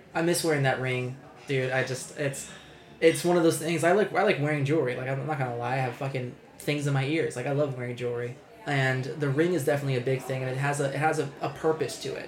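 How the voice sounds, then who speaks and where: Against noticeable background noise, a man speaks fairly quickly at a fairly high pitch. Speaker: podcast co-host. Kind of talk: casual, profane. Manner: casual, conversational.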